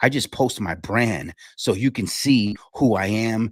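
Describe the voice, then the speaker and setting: A man speaks in an animated tone. The sound is dry and close with no echo, a very clean recording with a silent background. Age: 40s. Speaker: junk removal business owner and live show host. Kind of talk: live stream casual talk. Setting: live stream. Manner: animated, many fillers.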